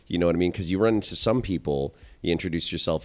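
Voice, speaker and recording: Speaking very fast in a Canadian accent, a man with a very deep, low voice uses ordinary pitch variation. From Canada. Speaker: barber and hairdresser. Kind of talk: casual chat.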